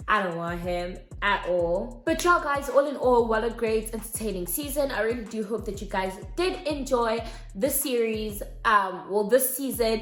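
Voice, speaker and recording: The tone is animated and the intonation lively, at a moderate pace. Room echo is audible. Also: woman. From South Africa. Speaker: YouTuber. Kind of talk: casual vlog commentary.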